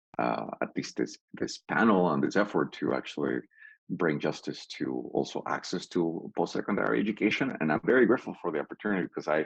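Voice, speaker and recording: With a Spanish accent, a man talks at a fairly quick pace with lively intonation and vocal fry, in a dry, close sound with no echo. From Peru. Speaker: PhD student panelist. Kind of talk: panel discussion. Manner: halting.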